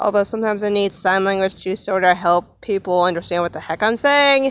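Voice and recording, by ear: A woman's medium-pitched voice, fairly bright and clear, smooth in tone, with ordinary pitch variation.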